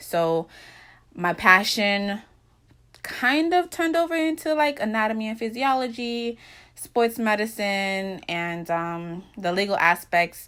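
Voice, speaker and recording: A woman with a slight Jamaican accent, her tone bright and sharp, her intonation lively, her pace very slow. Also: very clean recording, silent background. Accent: slight Jamaican, some words said slower. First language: Jamaican Patois. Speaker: vlogger. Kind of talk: casual vlog monologue.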